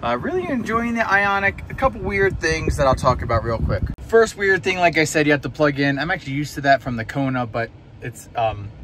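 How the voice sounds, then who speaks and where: With hardly any pauses, a man talks at a fairly quick pace, the sound dry with no echo and light noise behind him. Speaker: EV vlogger. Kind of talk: casual vlog chat. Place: car. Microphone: phone near.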